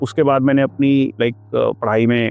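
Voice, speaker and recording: In a Punjabi accent, a man talks at a medium pitch with monotone, flat intonation. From Punjab, India (small town). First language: Punjabi (speaking Hindi). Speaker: teacher, former border force officer. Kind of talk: interview, personal life story. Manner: hesitant, many fillers, Hindi-English code-switching.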